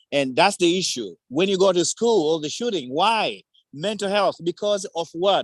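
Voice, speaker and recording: Here a man with a Tanzanian accent talks at a high pitch with ordinary pitch variation. The background is quiet, and the sound is dry and close with no echo. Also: moderate pace. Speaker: community advocate. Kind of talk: public forum remarks. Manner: animated.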